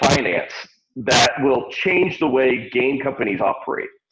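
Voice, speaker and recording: This man speaks at a fairly slow pace. Vocal fry runs through his voice. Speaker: panelist on virtual economy livestream. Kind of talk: panel discussion. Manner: loud. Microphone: crackling sound.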